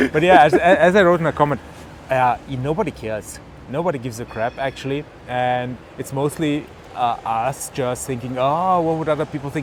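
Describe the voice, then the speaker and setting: The speaker has a German accent and a moderate pace. Pitch variation is ordinary. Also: man, fairly high pitch for a man. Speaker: tech vlogger. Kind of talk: casual chat. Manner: halting, many fillers.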